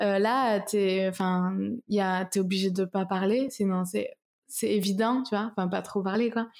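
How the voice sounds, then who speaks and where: A woman's medium-pitched voice, fairly slow and fairly even in intonation, at very even loudness in a very clean recording with a silent background. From France, Toulouse. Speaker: singer-songwriter. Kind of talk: interview. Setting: at home, apartment.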